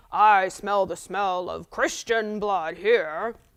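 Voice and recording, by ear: A put-on character voice, loud, booming and growling, at a middle pitch and a very slow pace.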